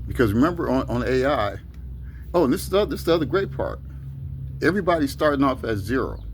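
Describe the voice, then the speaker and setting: A man talks at a very fast pace broken by long, frequent pauses, with audible room echo. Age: 60s. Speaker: video blogger. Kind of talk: casual monologue. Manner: halting, many fillers.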